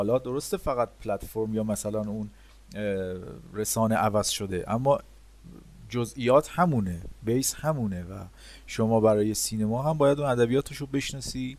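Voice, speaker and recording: Here a man speaks at a medium pitch with ordinary pitch variation. He leaves long, frequent pauses. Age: 30s. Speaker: motion graphics designer. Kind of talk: interview. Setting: remote call.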